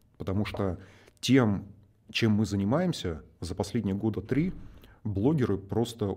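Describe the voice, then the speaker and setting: A man's fairly low, dark, mellow voice comes out somewhat breathy at a moderate pace. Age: 30s. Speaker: online education entrepreneur. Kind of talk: casual chat.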